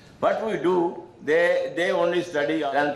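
Speaking in an Indian accent, a man with a fairly high pitch talks at a fairly slow pace, with audible room echo and light background noise. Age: 80s+. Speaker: religious leader and founder of a school charity. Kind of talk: conference speech. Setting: stage with audience. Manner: halting. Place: meeting room. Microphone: podium.

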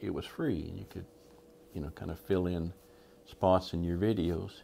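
A man with a very deep, low pitch and a dark, mellow tone talks at a moderate pace over light background noise. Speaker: hobby channel host. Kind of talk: casual vlog chat. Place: workshop.

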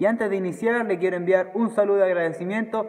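A man speaks high in pitch, keeping his intonation fairly even. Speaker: fitness trainer. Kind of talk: casual announcement to viewers. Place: gym. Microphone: phone near.

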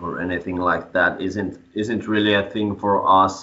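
A man speaks at a very slow pace with a Finnish accent. His pitch is fairly low. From Finland. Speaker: metal band frontman; interviewee. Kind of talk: interview. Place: home room. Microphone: video call.

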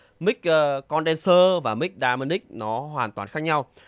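Here a man talks with very wide pitch swings. The sound is dry and close, with no echo. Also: very clean recording, silent background. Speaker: audio gear reviewer. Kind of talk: tutorial.

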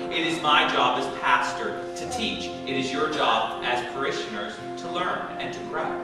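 A man talks at a moderate pace with hardly any pauses, his voice echoing in the room over loud background music. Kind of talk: sermon. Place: church.

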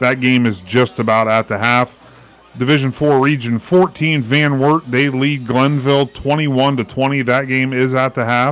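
A man of medium pitch speaks with fairly even intonation and very even loudness in a dry sound with no echo, faint music in the background. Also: moderate pace. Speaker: radio studio host. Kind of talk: radio halftime show; halftime commentary and scores.

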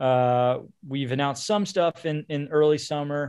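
An unremarkable speaking voice from a man, fairly high in pitch, with an American accent and fairly even intonation. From Baltimore, US. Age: 30s. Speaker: indie rock musician. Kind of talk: casual chat.

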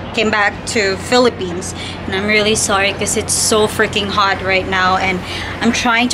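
Over noticeable background noise, a woman talks in a monotone, flat intonation. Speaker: travel vlogger. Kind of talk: casual vlog chat. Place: home room. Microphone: phone near.

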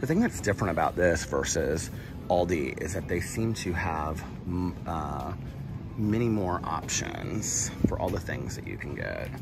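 Music plays in the background as a man talks at a fairly slow pace. He leaves long, frequent pauses. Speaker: vlogger. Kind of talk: casual vlog chat. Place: shop. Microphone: phone near.

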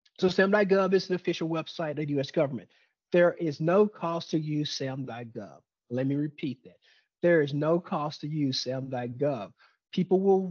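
A man's voice at a moderate pace, with ordinary pitch variation, big swings in loudness, and a quiet background. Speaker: webinar presenter. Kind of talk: lecture. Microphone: webcam.

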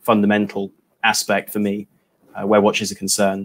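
The speaker has an English accent and talks at a fairly quick pace. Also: man. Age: 20s. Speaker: watch blogger and YouTuber; watch blogger, YouTuber. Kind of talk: casual livestream chat. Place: home room.

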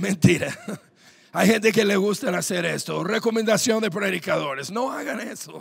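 An animated, high-pitched man at a moderate pace, with ordinary pitch variation. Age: 30s. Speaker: pastor. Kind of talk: sermon. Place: church. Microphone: handheld.

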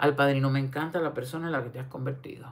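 A woman with a very deep, low pitch speaks in an animated tone. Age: 60s. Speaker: online commentator. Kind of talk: casual livestream commentary. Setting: livestream. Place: home room. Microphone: phone near.

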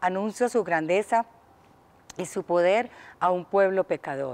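The voice has a slightly mellow tone and lively intonation, moving at a fairly slow pace. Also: woman.

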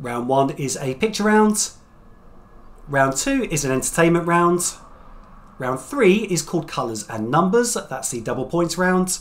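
This man talks at a fairly slow pace with very wide pitch swings. His speech has long, frequent pauses. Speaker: quiz host. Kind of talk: quiz hosting. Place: home room.

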